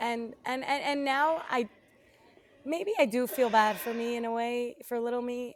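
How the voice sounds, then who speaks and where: With a high pitch and ordinary pitch variation, a woman speaks. Her pace is fairly slow. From Brazil. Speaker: abuse survivor. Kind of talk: interview answer.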